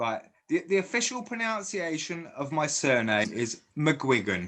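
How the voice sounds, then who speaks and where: A man's bright, sharp tone sits at a fairly high pitch. He moves at a fairly slow pace with very wide pitch swings. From Guernsey, Channel Islands. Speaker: fan interviewer. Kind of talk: casual interview chat. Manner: stammering, many false starts.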